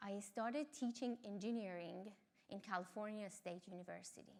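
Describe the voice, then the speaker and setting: A woman's bright, sharp tone with an Iranian accent. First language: Farsi. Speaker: mountaineer and engineering lecturer. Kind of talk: talk.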